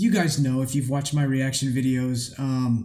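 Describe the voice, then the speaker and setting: Somewhat breathy man with a dark, mellow tone and fairly even intonation, with audible room echo. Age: 30s. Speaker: music reaction youtuber. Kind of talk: casual reaction commentary. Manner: halting, many fillers.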